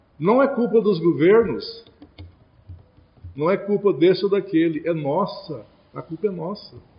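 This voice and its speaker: Noticeable background noise runs through the clip. Over it, a man speaks in a high voice. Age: 60s. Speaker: spiritist lecturer. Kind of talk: religious lecture.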